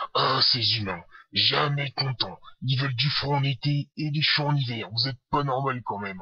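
This man performs in a put-on character voice. The pitch lands in the medium range. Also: moderate pace. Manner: grumpy, aggressive, boastful.

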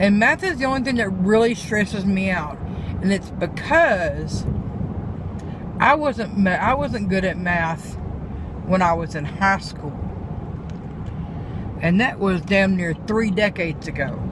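A woman talks at a fairly slow pace with lively intonation and long, frequent pauses. Background noise is noticeable. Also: dry sound with no echo. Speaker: vlogger. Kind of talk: casual vlog chat. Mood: relieved, mildly sardonic. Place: car. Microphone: phone near.

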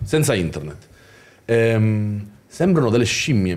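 With lively intonation, a man delivers his words at a fairly slow speed. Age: 30s. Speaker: YouTuber. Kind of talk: casual chat. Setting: livestream. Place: studio. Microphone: studio mic.

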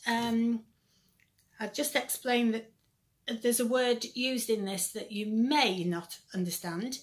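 Over a quiet background, a woman speaks in a somewhat breathy voice. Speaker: children's church teacher. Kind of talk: children's Bible lesson. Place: home room. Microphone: phone near.

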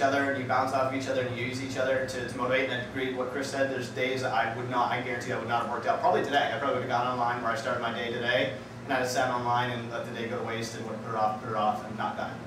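A man talks at a very fast pace with monotone, flat intonation. Audible room echo and noticeable background noise fill the recording. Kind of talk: casual vlog chat. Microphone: camera far.

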